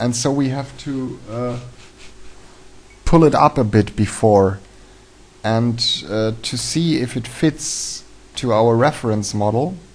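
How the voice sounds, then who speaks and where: A man speaks very slowly with a German accent, pausing long and often. His pitch sits in the medium range. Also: ordinary pitch variation. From Germany. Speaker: 3D animation tutorial maker. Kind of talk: tutorial. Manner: halting, many fillers.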